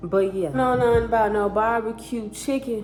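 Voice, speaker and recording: The voice belongs to a woman. Noticeable background noise can be heard. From South Bend, Indiana (US Midwest). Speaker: vlogger. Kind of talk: casual get-to-know-me vlog. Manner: animated.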